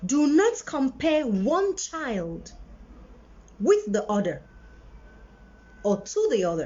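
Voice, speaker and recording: At a very slow pace, a woman with a high pitch speaks with very wide pitch swings and long, frequent pauses. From Nigeria, Enugu then Lagos. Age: 40s. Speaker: parenting video host. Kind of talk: live-stream monologue. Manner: animated.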